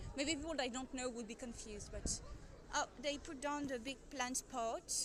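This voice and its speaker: There is audible room echo around this voice. A woman speaks with a high pitch. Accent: French. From France. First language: French. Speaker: live streamer filming a protest. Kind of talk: live-stream commentary with chat. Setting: outdoors at a street protest. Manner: hesitant, many fillers.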